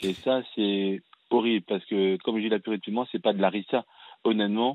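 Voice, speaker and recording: Speaking fairly quickly, a man with a normal speaking voice keeps a fairly low pitch and fairly even intonation. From France (raised from age six, born in Cameroon). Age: 30s. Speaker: fashion designer and film director. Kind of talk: testimony. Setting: radio call-in show.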